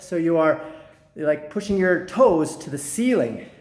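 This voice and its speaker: A man speaks at a fairly slow pace and high pitch. The background is quiet, with audible room echo. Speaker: fitness vlogger. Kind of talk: casual vlog chat. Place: gym. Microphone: phone near.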